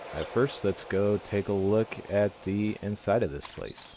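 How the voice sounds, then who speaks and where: Noticeable background noise beneath a fairly slow pace and fairly even intonation. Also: man, fairly low pitch for a man. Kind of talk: game voice-over. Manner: hesitant.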